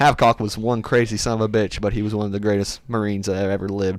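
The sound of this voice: Speaking fast, a man keeps a fairly low pitch with little pitch movement.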